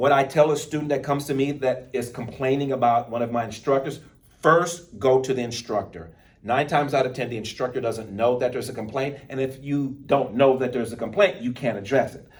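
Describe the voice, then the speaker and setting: Talking at a fairly quick pace with an American accent, a man sounds somewhat breathy, medium in pitch with ordinary variation, amid audible room echo. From Texas, Baytown. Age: 50s. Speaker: college speech instructor. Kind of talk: lecture.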